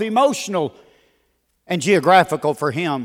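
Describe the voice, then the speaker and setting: On a very clean recording with a silent background, a man speaks at a moderate pace with very wide pitch swings. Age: 60s. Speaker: guest preacher. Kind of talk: sermon. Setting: church.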